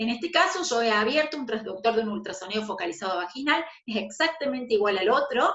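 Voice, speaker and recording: A woman at a very fast pace with very wide pitch swings and hardly any pauses. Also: fairly high pitch for a woman. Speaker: aesthetics instructor. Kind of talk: online lecture.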